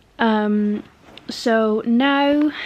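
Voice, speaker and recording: A woman speaks in a British accent with ordinary pitch variation. Noticeable background noise can be heard. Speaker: vlogger. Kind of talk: casual vlog talk. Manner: hesitant, many fillers.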